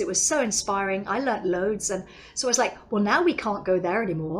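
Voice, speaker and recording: A woman in a southern English accent, fairly high-pitched, very fast, with lively intonation and noticeable background noise. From England, London. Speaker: yoga teacher. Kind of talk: interview. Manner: animated.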